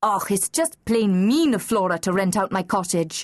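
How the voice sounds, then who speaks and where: Putting on a growling character voice in a Scottish accent, a woman speaks at a medium pitch and moderate pace with very even loudness, the sound dry and close with no echo over a quiet background. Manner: cross.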